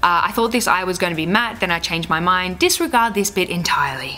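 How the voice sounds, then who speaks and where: Over noticeable background noise, a woman speaks at a medium pitch with lively intonation. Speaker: beauty vlogger. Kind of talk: makeup tutorial talk to camera.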